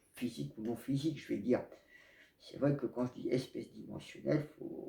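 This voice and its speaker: A man speaks at a fairly slow pace. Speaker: spiritual video blogger. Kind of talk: casual monologue to camera. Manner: hesitant, many fillers.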